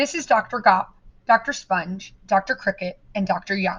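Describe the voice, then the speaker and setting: A woman's put-on character voice, mumbling at medium pitch and a moderate pace, with ordinary pitch variation. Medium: read story.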